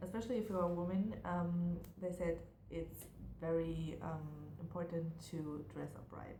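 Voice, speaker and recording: Noticeable background noise and audible room echo surround a woman's voice. She has a fairly low pitch and a German accent. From Germany. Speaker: university student vlogger. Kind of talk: casual vlog monologue. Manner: hesitant, many fillers.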